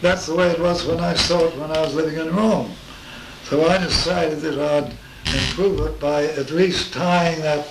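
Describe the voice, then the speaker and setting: Noticeable background noise accompanies this man's fairly high voice and its fairly even intonation. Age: 80s+. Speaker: space artist. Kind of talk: interview answer. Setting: home.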